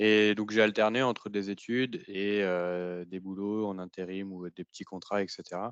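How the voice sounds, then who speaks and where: A man with a fairly low pitch speaks fairly slowly in a monotone, flat intonation, with big swings in loudness. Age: 30s. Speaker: trainee in a tech retraining program. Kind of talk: podcast testimony. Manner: hesitant, many fillers.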